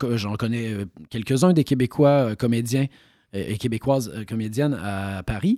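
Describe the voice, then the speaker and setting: A man's medium-pitched voice with a dark, mellow tone, ordinary pitch variation and a moderate pace, dry and close with no echo, on a very clean recording with a silent background. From Quebec. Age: 40s. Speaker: actor. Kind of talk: interview.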